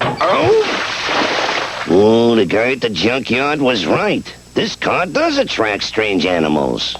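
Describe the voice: A man's cartoonish character voice at a fairly slow pace, over clear background noise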